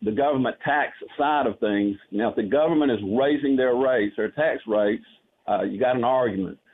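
In a Southern US accent, a man speaks at a medium pitch and moderate pace with ordinary pitch variation. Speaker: caller. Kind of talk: casual chat. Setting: phone call.

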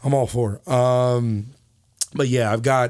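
The recording is very clean with a silent background as a man talks at a fairly slow pace in a medium pitch. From South Carolina, US South. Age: 20s. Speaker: pop singer. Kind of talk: interview. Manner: animated.

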